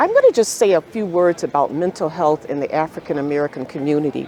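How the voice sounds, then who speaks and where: A woman speaks with lively intonation. Crowd noise fills the background. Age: 70s. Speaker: psychiatrist. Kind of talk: interview.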